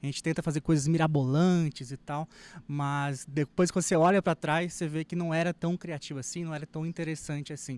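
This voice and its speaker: Fairly high-pitched male speech at a fairly quick pace, fairly even in intonation, in a dry, close, very clean recording with no echo over a silent background. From Brazil, raised in Minas Gerais. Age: 30s. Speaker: wedding photographer. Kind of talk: lecture. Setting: stage with audience.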